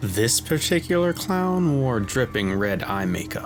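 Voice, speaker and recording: With music in the background, a man speaks at a fairly slow pace, his intonation lively. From Bronx, New York. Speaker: voice actor, narrator. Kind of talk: horror story narration.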